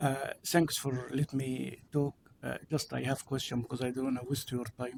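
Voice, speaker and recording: Somewhat breathy, with fairly even intonation. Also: man, dry, close sound with no echo. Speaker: member of public giving comment. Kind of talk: public comment. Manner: halting.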